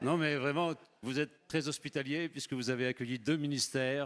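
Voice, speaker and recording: A normal speaking voice from a man, fairly high in pitch, at a moderate pace on a very clean recording with a silent background. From France. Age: 60s. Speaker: missionary preacher. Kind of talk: sermon. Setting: church.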